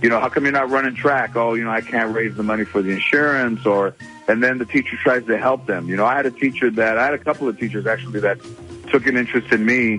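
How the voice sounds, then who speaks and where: Music plays in the background as the speaker talks at a very fast pace. The voice has an American accent and fairly even intonation. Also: man, medium pitch for a man. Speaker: comedian and actor. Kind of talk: radio phone interview answer. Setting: phone line. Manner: relaxed, conversational.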